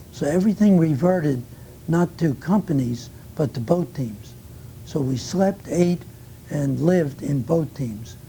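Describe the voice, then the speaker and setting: At a fairly slow pace, a man with a New York accent speaks at a fairly high pitch with ordinary pitch variation. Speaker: war veteran. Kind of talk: oral history interview. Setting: recorded interview.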